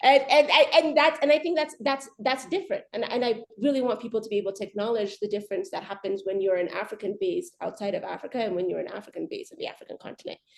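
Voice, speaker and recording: A woman's high voice in an American accent, very fast with hardly any pauses, very wide pitch swings and big swings in loudness. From Ethiopia. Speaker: arbitration lawyer. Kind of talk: panel discussion. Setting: video call webinar. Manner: halting, many repetitions.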